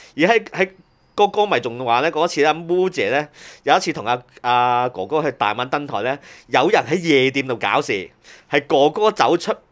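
A man's normal speaking voice, fairly high in pitch, with lively intonation at a moderate pace on a very clean recording with a silent background. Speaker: music industry veteran. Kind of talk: casual chat.

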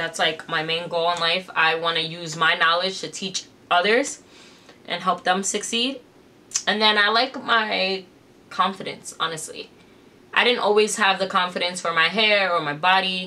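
Taking long, frequent pauses, a woman with an American accent talks at a moderate pace with ordinary pitch variation. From New York City. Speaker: influencer and business owner; influencer. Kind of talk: casual vlog Q&A. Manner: casual, filler-heavy. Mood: calm, reflective, personal. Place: home room.

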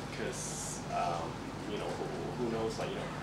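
A man's voice amid loud background noise. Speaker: guest. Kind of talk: interview answer. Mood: reflective, relaxed. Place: classroom.

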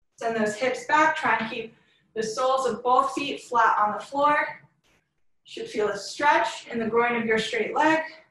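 In a room with audible echo, a woman speaks fairly slowly in a high-pitched voice with a bright, sharp tone. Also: ordinary pitch variation. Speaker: fitness instructor. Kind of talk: workout class instruction. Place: home room. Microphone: webcam.

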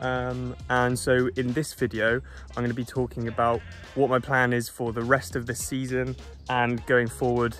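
A man speaks at a moderate pace with ordinary pitch variation. The sound is dry with no echo, and faint music plays in the background. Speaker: triathlete vlogger. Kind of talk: casual vlog chat. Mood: cheerful, upbeat. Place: open country. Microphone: phone near.

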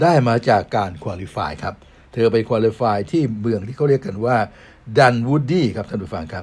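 The recording is very clean, with a silent background. A man with a normal speaking voice talks at a medium pitch with lively intonation. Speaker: sports talk show host. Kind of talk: sports news talk show. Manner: polite formal address.

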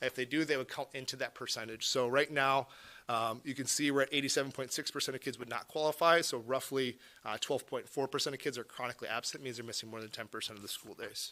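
A bright, sharp tone comes through at a very fast pace. The pitch varies in an ordinary way. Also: man. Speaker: school district administrator. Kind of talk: board meeting presentation. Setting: school library meeting.

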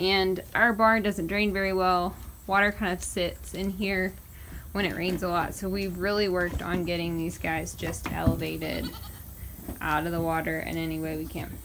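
There is noticeable background noise as a woman talks at a moderate pace. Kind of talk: casual vlog chat. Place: farm machine. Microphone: phone near.

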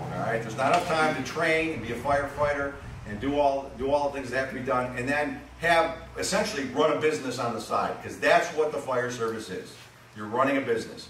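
A man with an American accent speaks at a very fast pace and a fairly high pitch, with ordinary pitch variation. Light background noise and audible room echo are present. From Western New York; New York State. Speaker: town attorney presenting at a public hearing. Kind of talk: public meeting presentation. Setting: public hearing at a fire company. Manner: halting, many fillers.

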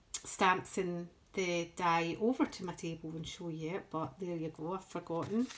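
With a Scottish accent, a woman speaks at a fairly slow pace in a medium-pitched voice. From Scotland. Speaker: crafting YouTuber. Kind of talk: show-and-tell tutorial. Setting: home craft table. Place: home room. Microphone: phone near.

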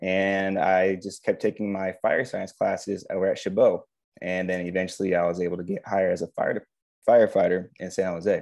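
The man has an American accent. He speaks at a fairly quick pace over a quiet background. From US West Coast, San Francisco Bay Area. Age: 30s. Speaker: firefighter. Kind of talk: career talk interview on video call. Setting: video call. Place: home room. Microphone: earbuds.

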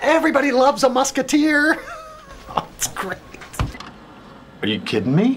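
Light background noise accompanies a man who keeps a moderate pace. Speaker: voice actor. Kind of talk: TV commercial read.

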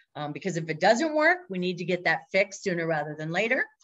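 Enthusiastic-sounding speech in an American accent plays over a quiet background. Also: woman. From Minnesota (Minneapolis). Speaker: agile coach and consultant; agile coach. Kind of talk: presentation. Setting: video call. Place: home room. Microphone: webcam.

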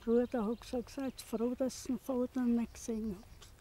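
The recording is dry, with no echo. A woman talks at a fairly high pitch with fairly even intonation. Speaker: concentration camp survivor. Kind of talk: interview answer. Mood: sober, reflective remembering. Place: open country.

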